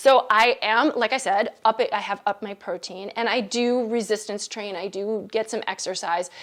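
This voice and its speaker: With an American accent and an unremarkable speaking voice, a woman of fairly high pitch talks at a moderate pace with fairly even intonation and hardly any pauses. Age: 50s. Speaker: dietitian. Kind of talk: casual explainer to camera. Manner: conversational, informal.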